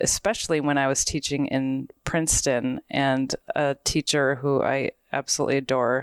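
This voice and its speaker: A woman with a very deep, low pitch speaks at a moderate pace in a dry, close sound with no echo, a very clean recording with a silent background. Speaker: podcast host. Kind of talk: casual chat. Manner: somewhat monotonous.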